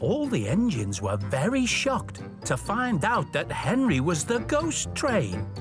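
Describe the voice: A man speaks at a slow pace, his pitch high for a man and swinging very widely. Clear music plays in the background.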